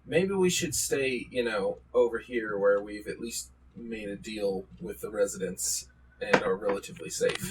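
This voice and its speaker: A raspy man at medium pitch uses a put-on character voice at a moderate pace. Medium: actual play. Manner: hesitant, reasonable.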